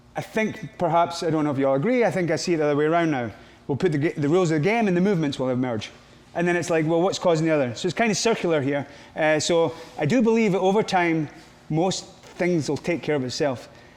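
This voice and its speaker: A man talks at a very fast pace with a fairly high pitch and ordinary pitch variation. Room echo is audible. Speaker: grappling and MMA coach. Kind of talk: coaching seminar Q&A. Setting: gym training camp with group.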